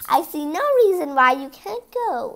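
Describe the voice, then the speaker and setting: Putting on a character voice, a woman speaks at a moderate pace in a high pitch, swinging her pitch very widely. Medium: read story. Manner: sly, sharp.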